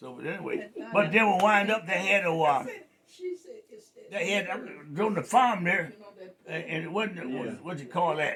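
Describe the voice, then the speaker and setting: A man speaks in a high pitch at a moderate pace, with lively intonation. His loudness swings widely and his pauses are long and frequent. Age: 80s+. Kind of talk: storytelling interview answer.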